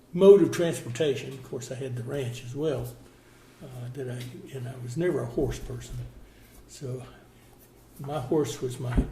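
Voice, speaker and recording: A man's medium-pitched voice in a Southern US accent at a fairly slow pace. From Florida. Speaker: contractor and former cattle rancher. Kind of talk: oral history interview answer.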